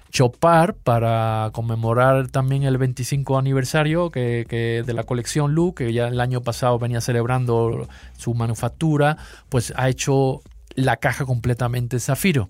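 Talking fairly slowly, a man keeps his intonation fairly even. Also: medium pitch for a man. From Seville, Spain. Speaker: watch magazine editor. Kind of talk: casual chat.

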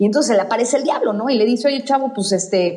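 Talking at a fairly quick pace, a woman is heard with noticeable background noise and audible room echo. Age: 40s. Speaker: architect. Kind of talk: casual chat.

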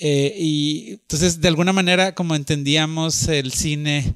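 The recording is very clean, with a silent background and a dry, close sound with no echo. A man speaks very slowly with ordinary pitch variation. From northern Mexico (Monterrey). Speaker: artist. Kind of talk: personal storytelling monologue. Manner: hesitant, with frequent fillers.

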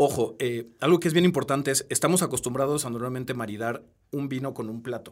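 Very fast talk from a man at medium pitch, the pitch varying in an ordinary way. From Peru. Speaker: wine tech entrepreneur. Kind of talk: interview. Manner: halting.

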